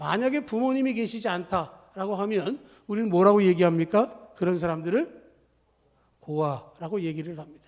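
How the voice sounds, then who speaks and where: A man talks with lively intonation at a fairly slow pace. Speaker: pastor. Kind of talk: sermon.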